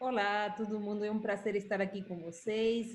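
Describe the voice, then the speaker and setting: A woman with a Uruguayan accent, medium pitch, monotone and flat intonation, and a moderate pace. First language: Spanish (speaking Portuguese). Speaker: institute director. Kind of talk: interview.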